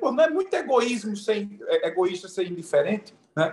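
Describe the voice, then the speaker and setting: Here a man is talking at a moderate pace. His intonation is lively. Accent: Pernambuco. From Pernambuco, Brazil. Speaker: event moderator, mediation chamber president. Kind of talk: panel discussion.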